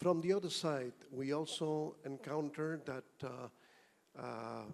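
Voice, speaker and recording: With a Spanish accent, a man speaks at a very slow pace in a fairly even intonation. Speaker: auditing professional. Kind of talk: conference comment.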